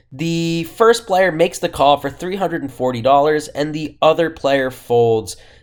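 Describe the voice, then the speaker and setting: Speaking in an ordinary speaking voice, a man with a fairly high pitch keeps a moderate pace and ordinary pitch variation on a very clean recording with a silent background. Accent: American. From Boston, Massachusetts. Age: 20s. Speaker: professional poker player. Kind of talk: casual vlog hand recap to camera.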